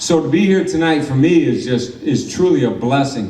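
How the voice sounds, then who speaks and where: A man talks with an American accent and ordinary pitch variation. Audible room echo and noticeable background noise fill the recording. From Michigan. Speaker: former pro boxer. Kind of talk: award acceptance speech.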